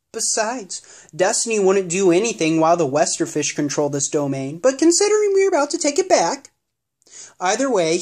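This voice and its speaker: This is a put-on character voice at a middle pitch. The pace is fairly quick. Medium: read story.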